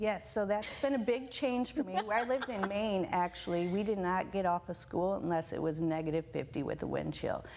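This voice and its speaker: Noticeable background noise sits behind a speaker with an American accent who goes at a fairly quick pace with hardly any pauses. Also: woman, medium pitch for a woman, lively intonation. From northern Wisconsin. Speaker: elementary school principal. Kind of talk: interview.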